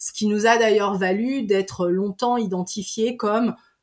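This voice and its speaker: The recording is very clean, with a silent background. A woman speaks at medium pitch and a fairly slow pace with ordinary pitch variation. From Savoie, French Alps. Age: 40s. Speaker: deputy director of a mountain tourism network. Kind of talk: interview. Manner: halting, many repetitions and fillers.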